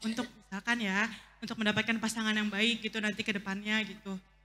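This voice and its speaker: A woman's bright, sharp tone with monotone, flat intonation. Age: young. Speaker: audience member asking a question. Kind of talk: Q&A question at religious talk. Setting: mosque gathering. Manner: halting, many fillers.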